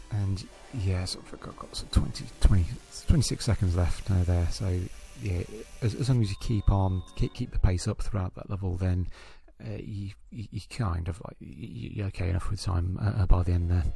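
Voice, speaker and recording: A man's very deep, low voice with ordinary pitch variation and big swings in loudness, with music in the background. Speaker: gaming YouTuber. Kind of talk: gameplay commentary. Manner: fast; stuttering, many repetitions.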